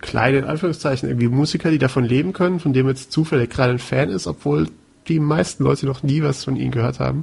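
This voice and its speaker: A man rattles along at a very fast pace with a medium pitch. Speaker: podcast co-host. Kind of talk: casual chat.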